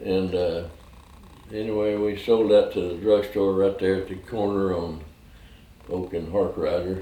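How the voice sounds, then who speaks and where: Amid audible room echo, a man with an American accent and fairly low pitch speaks at a fairly slow pace in a monotone, flat intonation, with long, frequent pauses. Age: 90s. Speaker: war veteran. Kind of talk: oral history interview. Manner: halting.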